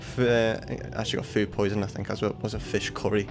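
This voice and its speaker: A man with a Liverpool accent at a very fast pace, fairly even intonation, music in the background. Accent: Liverpool (Scouse). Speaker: flight sim streamer. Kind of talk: casual chat. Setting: livestream.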